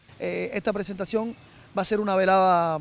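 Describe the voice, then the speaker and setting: Speaking at a fairly quick pace, a man with a high pitch keeps his intonation fairly even in a dry recording with no echo. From Cuba. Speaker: musician. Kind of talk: interview. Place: garden. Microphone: handheld.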